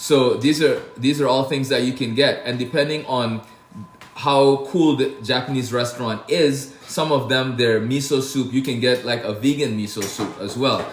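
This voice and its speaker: Over noticeable background noise and audible room echo, a man with an American accent speaks at a medium pitch and a fairly slow pace. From Brooklyn, New York (born Saint Lucia). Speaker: chef. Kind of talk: casual livestream chat. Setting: TikTok live stream, home kitchen. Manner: casual, animated.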